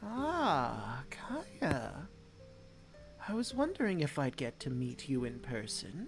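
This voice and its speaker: A put-on character voice moves at a very slow pace with clear music in the background. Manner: warm welcoming.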